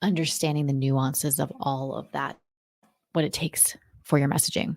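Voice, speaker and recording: The voice carries vocal fry at a moderate pace. The sound is dry and close, with no echo. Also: woman. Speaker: podcast host, marketing strategist. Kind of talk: solo podcast monologue. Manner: casual, conversational.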